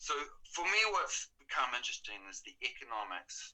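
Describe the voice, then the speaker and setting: A moderately paced man's voice in a New Zealand accent. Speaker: artist. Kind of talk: interview.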